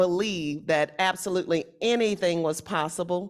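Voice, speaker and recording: A woman speaks with a Southern US accent. Her pitch is medium, with ordinary variation. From Louisiana, Shreveport. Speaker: panelist. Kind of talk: panel discussion.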